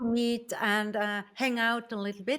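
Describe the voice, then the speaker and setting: Very slow speech from a woman in a non-native accent. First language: not English. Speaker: spiritual medium. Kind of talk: interview podcast.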